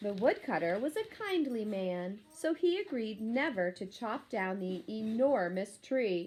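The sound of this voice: The reading voice is unforced, with lively intonation.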